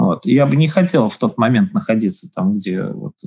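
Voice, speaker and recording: At a moderate pace, a man with a fairly high pitch and vocal fry speaks with very wide pitch swings. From Latvia, Daugavpils. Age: 40s. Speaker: business incubator head. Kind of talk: interview. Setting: remote call.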